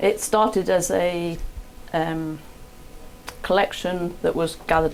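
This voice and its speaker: A woman with a fairly low pitch. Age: 50s. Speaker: museum printer. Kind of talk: interview. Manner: hesitant with fillers.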